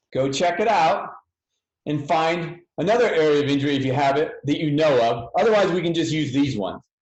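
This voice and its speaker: At a fairly quick pace, a man speaks with ordinary pitch variation amid audible room echo. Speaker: physical therapy educator. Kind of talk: webinar.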